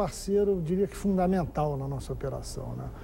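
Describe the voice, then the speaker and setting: Against light background noise, a man speaks at a moderate pace with a high pitch and ordinary pitch variation. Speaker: guest. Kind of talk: interview answer. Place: studio. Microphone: lapel.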